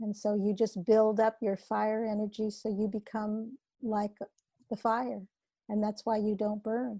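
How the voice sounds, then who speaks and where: A dark, mellow, somewhat breathy voice, dry and close with no echo, at a fairly slow pace with monotone, flat intonation. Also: woman, fairly high pitch for a woman. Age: 70s. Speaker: author and hypnotherapist. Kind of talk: podcast interview.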